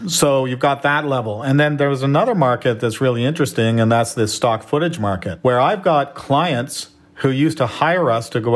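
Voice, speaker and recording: This man speaks with a Canadian accent at a moderate pace, at a medium pitch with ordinary pitch variation. He has a plain, everyday voice. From Canada. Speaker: entrepreneur and filmmaker. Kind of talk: interview conversation.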